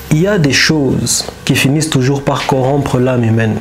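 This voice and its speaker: Noticeable background noise and audible room echo surround a man's voice. He speaks at a fairly slow pace with ordinary pitch variation. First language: not French (speaking French). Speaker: commentator on history and power. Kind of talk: monologue commentary. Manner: halting, with repetitions.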